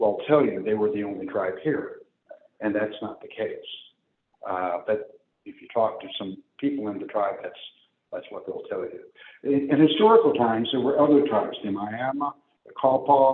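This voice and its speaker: A man with an American accent at a moderate pace, with long, frequent pauses and big swings in loudness. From US Midwest, St. Louis area. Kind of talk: public talk. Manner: conversational with fillers.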